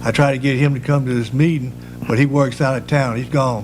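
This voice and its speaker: A man speaks at medium pitch with a North Carolina accent. Noticeable background noise and audible room echo are present. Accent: Southern US (North Carolina). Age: 70s. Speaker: public commenter, resident. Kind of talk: public comment at council meeting. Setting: town council meeting.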